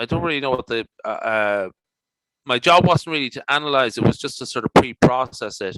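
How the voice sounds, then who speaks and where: Speaking with an Irish accent, a man uses a medium pitch, ordinary pitch variation, and a bright, sharp tone. He keeps a moderate pace, and the sound is dry and close with no echo. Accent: Irish, noticeable. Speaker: statistician and conference presenter. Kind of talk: Q&A discussion. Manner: halting, many fillers.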